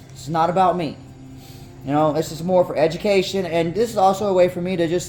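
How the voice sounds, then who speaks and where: Fairly quick speech from a man, with music in the background. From North Carolina. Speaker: tarantula keeper. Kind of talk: tutorial. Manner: casual, halting.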